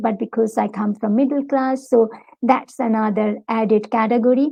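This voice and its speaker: A woman with a Bengali accent, fairly high in pitch, at a moderate pace with fairly even intonation. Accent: Bengali accent in English, noticeable. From Bangladesh. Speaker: academic, university lecturer. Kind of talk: interview.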